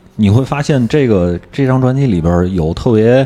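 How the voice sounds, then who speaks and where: Noticeable background noise runs under this recording. Over it, a man talks with lively intonation. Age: middle-aged. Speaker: podcast host of a partner show. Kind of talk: casual chat.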